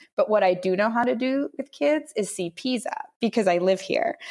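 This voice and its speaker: A woman with a plain, everyday voice speaks at a moderate pace on a very clean recording with a silent background. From Minnesota. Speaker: mother and former engineer. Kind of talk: casual interview.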